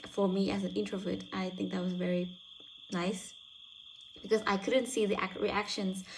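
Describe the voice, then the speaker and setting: The delivery is somewhat breathy with fairly even intonation. It moves at a moderate pace. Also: woman. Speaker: university student. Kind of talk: spoken self-reflection. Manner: halting.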